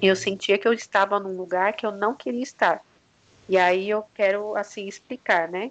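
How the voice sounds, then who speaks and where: A woman with an ordinary speaking voice talks at a moderate pace and medium pitch, her intonation fairly even over a quiet background. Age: 30s. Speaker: entrepreneur mother. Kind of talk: casual interview.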